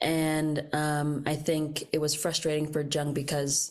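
The woman's voice is very deep and low in pitch. Her intonation is monotone and flat. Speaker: mental health practitioner. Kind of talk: casual chat.

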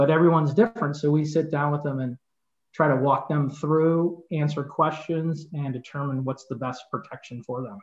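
A man with a Chicago accent speaks in a somewhat breathy voice. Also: fairly high pitch for a man, ordinary pitch variation, moderate pace. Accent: Chicago-area American. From US Midwest, northern Illinois suburbs. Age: 50s. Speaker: insurance agency owner and sports announcer. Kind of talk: casual interview.

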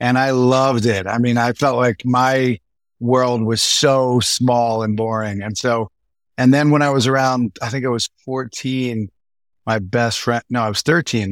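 Dry and close with no echo, a man with a plain, everyday voice and an American accent speaks at medium pitch and a moderate pace. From US Northeast. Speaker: film producer. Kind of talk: casual interview chat. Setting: video call.

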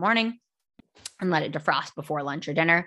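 Against a quiet background, a woman with a fairly low pitch talks at a very fast pace in a bright, sharp, animated tone with lively intonation. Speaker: nutrition podcast host. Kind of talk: solo educational podcast. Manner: fast talker; animated, casual.

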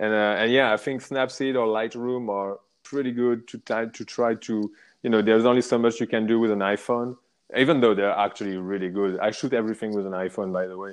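A man with a French accent talks at a fairly quick pace in a medium pitch. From France, Paris area. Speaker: motorcycle rider, traveler. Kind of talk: casual interview.

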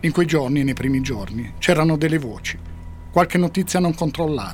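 Noticeable background noise under a man's fairly high voice, moderately paced, with ordinary pitch variation. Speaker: podcast narrator. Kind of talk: true-crime narration, scripted storytelling.

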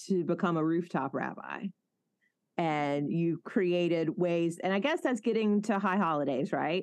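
A woman with a Southern accent and medium pitch, against a quiet background. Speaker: pastor and podcast host. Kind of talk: casual interview.

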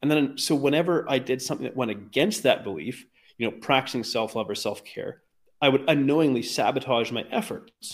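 A man's unremarkable speaking voice with a Canadian accent, medium in pitch, fairly quick and lively in intonation, on a very clean recording with a silent background. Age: 40s. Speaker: weight loss coach. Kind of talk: interview conversation.

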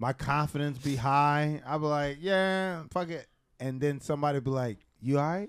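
Pitched fairly high, a man talks at a moderate pace with ordinary pitch variation in a very clean recording with a silent background. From Philadelphia, US. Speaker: comedian and podcast host. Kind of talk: casual chat.

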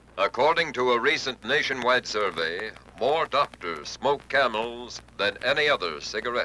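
Lively intonation at a moderate pace, very even loudness, and noticeable background noise. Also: man, medium pitch for a man. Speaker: radio announcer. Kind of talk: radio commercial and military salute. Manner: formal.

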